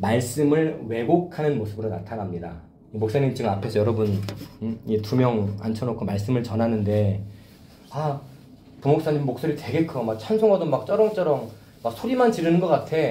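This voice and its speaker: Lively intonation from a man at medium pitch and moderate pace, with audible room echo and noticeable background noise. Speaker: pastor. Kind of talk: sermon. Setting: church youth service with two students. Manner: loud.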